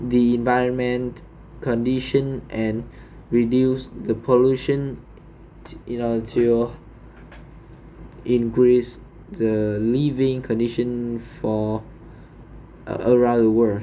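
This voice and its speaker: With a Vietnamese accent, a man speaks at a very slow pace and medium pitch, his flat, monotone delivery broken by long, frequent pauses and big swings in loudness, all with audible room echo. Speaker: English learner. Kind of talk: speaking exam practice. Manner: halting.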